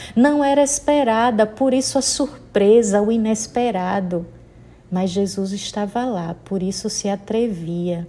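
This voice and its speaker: Ordinary pitch variation and a fairly slow pace in a dark, mellow tone. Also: woman, medium pitch for a woman. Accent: northeastern Brazilian. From Sergipe, Brazil. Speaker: Baptist pastor. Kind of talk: sermon.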